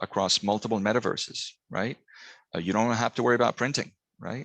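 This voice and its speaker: A man's bright, sharp voice at medium pitch and a fairly quick pace, dry and close with no echo, over a quiet background. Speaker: business strategist presenting a webinar. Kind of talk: webinar presentation. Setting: online webinar with screen share. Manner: fast; many fillers and false starts.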